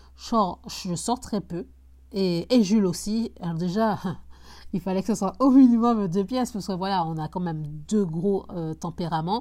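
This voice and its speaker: Her loudness swings widely. The woman speaks fairly slowly in a dark, mellow tone. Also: medium pitch for a woman, ordinary pitch variation, very clean recording, silent background. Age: 20s. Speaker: real estate investor podcaster. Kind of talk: casual solo podcast. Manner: halting, many fillers and repetitions.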